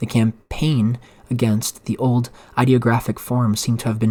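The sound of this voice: Reading in an unforced voice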